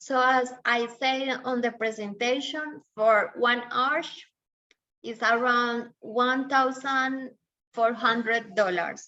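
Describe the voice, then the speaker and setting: Someone speaks at a very slow pace in a Spanish accent, with a bright, sharp tone and fairly even intonation. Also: woman, high pitch for a woman. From Colombia. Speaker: dentist. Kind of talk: webinar Q&A answering questions.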